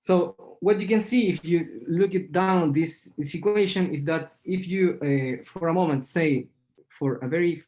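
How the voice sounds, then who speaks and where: The male voice has a dark, mellow tone. His speed is moderate. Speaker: mathematician presenting at webinar. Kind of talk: lecture. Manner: halting, many fillers and repetitions.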